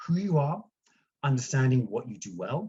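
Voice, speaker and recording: Somewhat breathy, a man speaks with a fairly high pitch and lively intonation. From UK. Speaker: branding consultant. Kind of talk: presentation. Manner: hesitant, many fillers.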